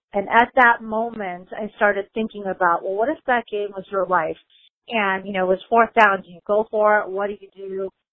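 A woman with an American accent speaks in an unremarkable speaking voice at a moderate pace, her intonation fairly even but her loudness swinging widely. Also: medium pitch for a woman. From US Midwest, Chicago. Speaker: lawyer and author. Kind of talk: interview.

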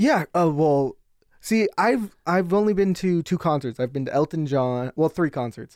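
A man with an American accent and a plain, everyday voice speaks at a moderate pace and a fairly high pitch, his intonation lively, the sound dry and close with no echo on a very clean recording with a silent background. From Nevada, US. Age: 20s. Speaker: sports arena production worker. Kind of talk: casual chat.

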